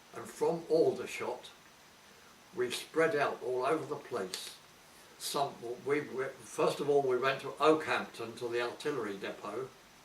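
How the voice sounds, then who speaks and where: At a fairly slow pace, speech comes through noticeable background noise. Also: man. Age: 80s+. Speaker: war veteran. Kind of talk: interview answer. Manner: hesitant.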